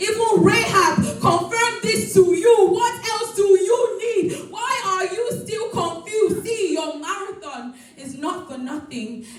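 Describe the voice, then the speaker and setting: With music in the background, a woman speaks at a fairly slow pace in an extremely high pitch and lively intonation. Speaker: spoken word poet. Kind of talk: spoken word poetry performance.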